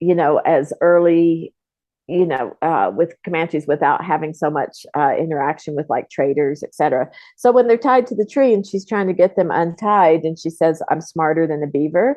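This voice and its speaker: This woman has a plain, everyday voice, pitched fairly low. Her intonation is lively and her pace moderate. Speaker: film co-producer. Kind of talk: interview answer.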